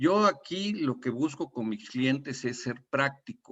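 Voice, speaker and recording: A man at a very slow pace. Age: 60s. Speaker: retired oil industry safety consultant. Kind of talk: webinar panel talk. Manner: halting, with repetitions.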